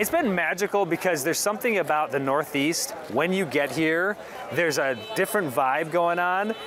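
Noticeable background noise sits behind a man's voice, which has a dry sound with no echo. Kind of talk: interview answer. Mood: enthusiastic, upbeat. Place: market. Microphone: handheld.

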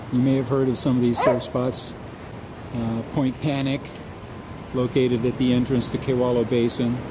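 Against noticeable background noise, a man with a medium pitch speaks at a moderate pace in a monotone, flat intonation with long, frequent pauses. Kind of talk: casual travelogue narration to camera.

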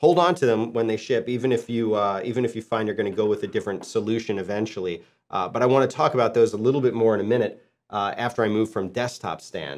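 Fairly quick male speech with ordinary pitch variation over a quiet background. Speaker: podcast presenter. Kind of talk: tutorial. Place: studio.

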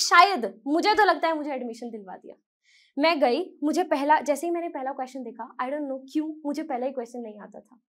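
The speech has lively intonation over a quiet background. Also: woman. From Haryana, India. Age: 20s. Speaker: YouTube educator and student; YouTube educator. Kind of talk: motivational talk. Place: studio. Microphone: lapel.

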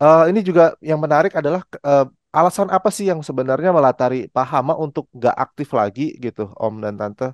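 In a dry sound with no echo and a quiet background, a man with a fairly high pitch talks at a fairly quick pace with lively intonation. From Indonesia. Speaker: music journalist and show host; music journalist, show host. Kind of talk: interview. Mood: friendly, relaxed. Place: home room. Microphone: headset.

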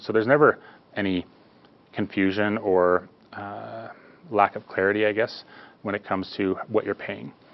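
A man speaks in a fairly low pitch with fairly even intonation. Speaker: guest. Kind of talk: interview answer. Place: studio.

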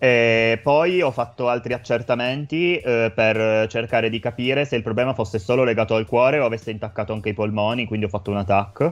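A man at a fairly quick pace, hardly any pauses, ordinary pitch variation. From Italy, Turin; Italy. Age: 20s. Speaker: healthcare worker; guest. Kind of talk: testimony. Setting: remote link into radio studio. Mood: calm, serious. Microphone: video call.

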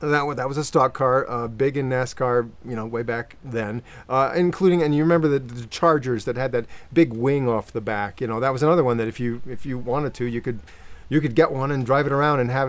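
A man's fairly quick delivery keeps its intonation fairly even. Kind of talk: casual explanatory talk to camera. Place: street.

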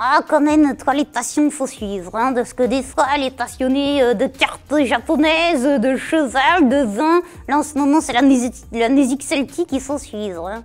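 A woman does a put-on character voice at a high pitch, keeping a moderate pace with hardly any pauses. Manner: cheeky, spontaneous.

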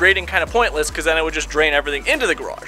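Faint music plays in the background while a man talks. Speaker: home renovation vlogger. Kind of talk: casual vlog chat. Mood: wry, mildly annoyed. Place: garden. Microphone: phone near.

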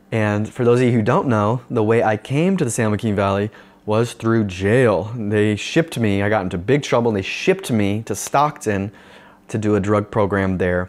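Fairly low-pitched man with an American accent, ordinary pitch variation and a moderate pace. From Northern California, US. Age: young. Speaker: pastor. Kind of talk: video sermon talk; personal story talk to camera. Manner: casual, with many fillers. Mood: earnest, reflective. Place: home room. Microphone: lapel.

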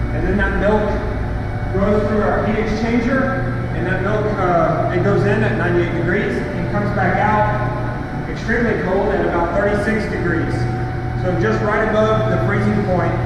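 Loud background noise, audible room echo, and a man talking at a fairly slow pace. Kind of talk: tour guide explanation. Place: factory.

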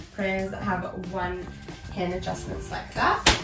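A woman speaks at a moderate pace. Music plays clearly in the background. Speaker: product reviewer. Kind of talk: product review tutorial. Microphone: camera far.

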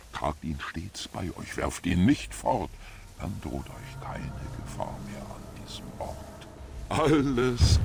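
A man puts on a raspy character voice at a fairly slow pace. Light background noise sits behind him. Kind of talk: rhymed blessing. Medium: game stream. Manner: solemn, rhyming.

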